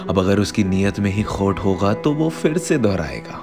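Very deep, low male speech with music in the background. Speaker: poet. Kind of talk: spoken word poetry. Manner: emotional.

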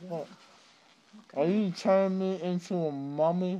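Moving at a moderate pace, a man speaks at a high pitch with ordinary pitch variation and a dark, mellow tone. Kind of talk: casual selfie video chat. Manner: slurred, dazed post-anesthesia voice. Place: home room. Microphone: phone near.

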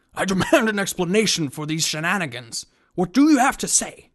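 This cartoonish character voice sits at a middle pitch. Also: fairly quick pace, quiet background. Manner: indignant, braying, pompous.

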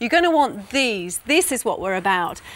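A woman speaks with a fairly high pitch and a bright, sharp tone. Her pitch swings very widely. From UK. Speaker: interior designer and TV presenter. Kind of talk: corporate customer advice presentation to camera. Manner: friendly, chatty, upbeat. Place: studio. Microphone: lapel.

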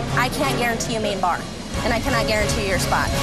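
A woman talks at a fairly quick pace over loud background music. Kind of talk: reality TV confrontation. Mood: firm, exasperated. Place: street.

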